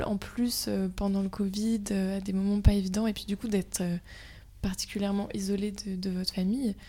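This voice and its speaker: Her medium-pitched voice has a dark, mellow tone, somewhat breathy and monotone with flat intonation, at a moderate pace. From Brittany, France. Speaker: student podcast host. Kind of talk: casual interview.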